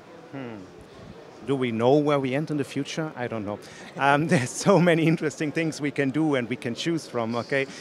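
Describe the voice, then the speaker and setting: With a German accent, a man talks at a fairly quick pace in a fairly high pitch, with ordinary pitch variation, a dry sound with no echo, and light background noise. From Germany. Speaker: tech company evangelist. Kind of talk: casual interview. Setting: conference floor. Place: hall. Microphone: handheld.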